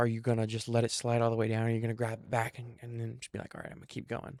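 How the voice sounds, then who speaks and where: A dark, mellow tone moves at a very fast pace. The sound is dry and close with no echo, in a very clean recording with a silent background. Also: man. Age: young. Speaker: podcast host. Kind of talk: casual solo podcast monologue. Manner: filler-heavy, many ums.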